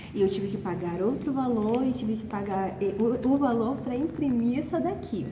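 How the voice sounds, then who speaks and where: At a moderate pace and with hardly any pauses, a woman speaks at a fairly high pitch with ordinary pitch variation. The room echo is audible, and background noise is noticeable. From Manaus, northern Brazil. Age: 40s. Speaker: vlogger and sports radio broadcaster. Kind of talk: casual vlog. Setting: on the move, at work. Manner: animated.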